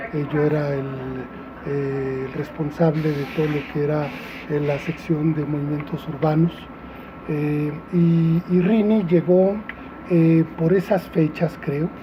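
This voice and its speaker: There is noticeable background noise as a man talks at a fairly high pitch with fairly even intonation. His pace is very slow, with long, frequent pauses. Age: 60s. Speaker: restaurateur and former activist. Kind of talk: interview testimony. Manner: halting, many fillers.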